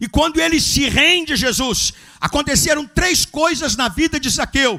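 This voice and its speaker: A man talks in a raised, projected voice at an extremely high pitch. His pace is moderate. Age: 70s. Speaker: pastor. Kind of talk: sermon. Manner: animated.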